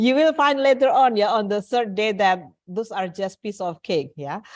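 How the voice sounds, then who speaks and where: In a quiet background, a woman with an Indonesian accent speaks at a moderate pace, her fairly high voice showing lively intonation. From Indonesia, East Java. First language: Javanese. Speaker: English teacher. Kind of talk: online class lecture.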